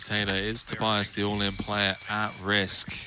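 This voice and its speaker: A man with a British accent speaks at a fairly slow pace in a fairly low pitch. His intonation is monotone and flat, with noticeable background noise. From England. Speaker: poker commentator. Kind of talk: live commentary.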